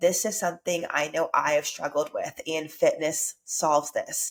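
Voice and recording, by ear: A woman, low in pitch, at a moderate pace.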